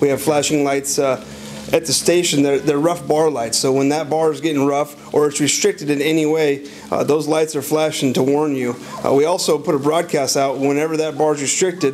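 The delivery is fairly quick and flat in intonation, with light background noise behind it. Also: man. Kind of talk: interview answer. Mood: calm, advisory.

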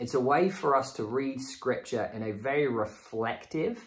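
Somewhat breathy speech with ordinary pitch variation plays over a quiet background. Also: man. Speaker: church teacher. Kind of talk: sermon. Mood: warm, calm. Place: home room.

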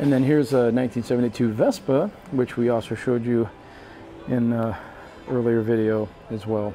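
Light background noise sits behind speech at a moderate pace with ordinary pitch variation and long, frequent pauses. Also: man. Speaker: cruise travel video host. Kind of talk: walking ship tour narration, pointing out venues to camera. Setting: onboard cruise ship, partly outdoors on windy deck. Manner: relaxed, chatty, frequent 'uh' fillers; friendly enthusiastic, upbeat asides. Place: hall. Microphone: phone near.

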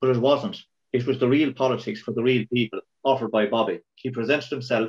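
A man with a Kilkenny Irish accent talks at a very fast pace with ordinary pitch variation over a quiet background. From Ireland. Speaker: local councillor. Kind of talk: tribute reminiscence. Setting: video call. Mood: warm respectful remembrance. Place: home room. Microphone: video call.

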